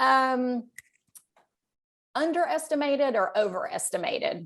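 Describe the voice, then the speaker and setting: A high-pitched woman in a Texan accent, fairly slow, with very wide pitch swings. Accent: Texas Southern US. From Northeast Texas. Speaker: romance author interviewing a guest. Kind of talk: casual interview.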